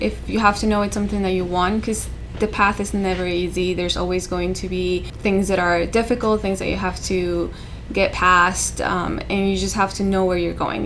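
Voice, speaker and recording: With a Spanish accent, a woman speaks at a moderate pace amid noticeable background noise and audible room echo. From South America. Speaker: civil engineer. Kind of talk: interview testimony.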